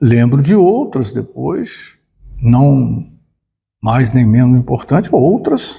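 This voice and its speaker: Very slowly, a man speaks. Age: 70s. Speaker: retired teacher and union director. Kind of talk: interview. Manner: halting, with frequent repetitions.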